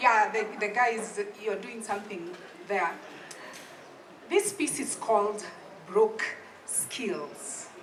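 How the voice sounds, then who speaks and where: In a Kenyan accent, a woman speaks at a very slow pace with long, frequent pauses, her pitch fairly high and background noise noticeable. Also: ordinary pitch variation. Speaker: public speaking coach and storyteller. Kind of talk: live comedic storytelling monologue. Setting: live open mic, audience.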